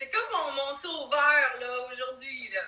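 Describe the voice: Heard with audible room echo, a woman with a Quebec accent speaks at a fairly slow pace and high pitch, her tone bright and sharp, with ordinary pitch variation.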